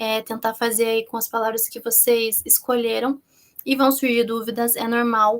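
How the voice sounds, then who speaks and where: Monotone, flat intonation marks this woman's fairly high-pitched voice. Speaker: minicourse instructor on research methodology. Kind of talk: online course lecture. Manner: fast.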